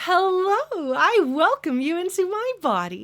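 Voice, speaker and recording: A put-on character voice pitched extremely high, delivered at a fairly slow pace. The recording is very clean, with a silent background. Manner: chipper, welcoming.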